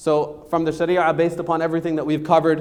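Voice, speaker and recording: A man's fairly high voice at a moderate pace, with audible room echo. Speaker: lawyer teaching estate planning. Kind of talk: lecture. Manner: loud.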